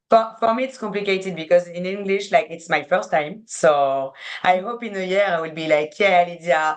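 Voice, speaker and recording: A woman with a French accent speaks at a moderate pace and fairly low pitch, her pitch variation ordinary. Her loudness swings widely. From France. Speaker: sports PR agency co-founder. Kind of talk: casual interview chat. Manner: halting, searching for words.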